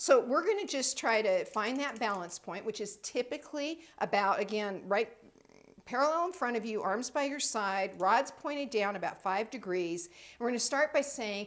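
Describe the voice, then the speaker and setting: A woman's normal speaking voice, fairly high in pitch, with lively intonation, big swings in loudness and a moderate pace. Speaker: intuitive training center director. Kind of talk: tutorial.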